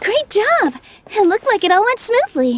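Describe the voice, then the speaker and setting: Using a put-on character voice, a woman speaks at a moderate pace in an extremely high, squeaky pitch with very wide pitch swings, recorded with a dry, close sound and no echo. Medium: video game. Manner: soft, gentle.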